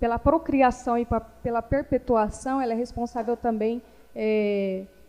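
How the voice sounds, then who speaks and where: With a dark, mellow tone and fairly even intonation, a woman speaks at a fairly slow pace in a fairly high pitch. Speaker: feminist activist, panel speaker. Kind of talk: panel talk. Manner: hesitant, many fillers.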